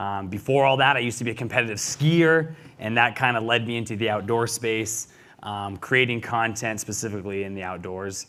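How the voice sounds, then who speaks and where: Bright and sharp in tone, this voice with an American accent moves at a fairly quick pace, showing big swings in loudness and ordinary pitch variation. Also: man, medium pitch for a man. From Montana, US. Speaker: video creator. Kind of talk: panel discussion.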